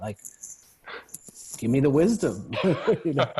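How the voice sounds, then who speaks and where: A man speaks with an American accent in a calm tone. His voice is dark, mellow and somewhat breathy. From New York. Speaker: men's group founder. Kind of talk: podcast interview.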